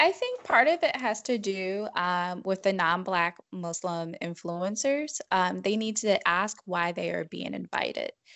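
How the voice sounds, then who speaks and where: Speaking with an American accent, a woman uses a medium pitch and lively intonation, moving at a fairly slow pace with hardly any pauses. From US Midwest. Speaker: professor. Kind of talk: interview podcast.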